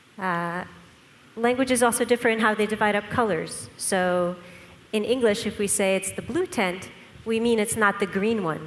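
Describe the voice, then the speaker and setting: A woman with a Russian accent speaks at medium pitch with ordinary pitch variation. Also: moderate pace. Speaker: scientist presenter. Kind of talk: lecture. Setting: conference with audience.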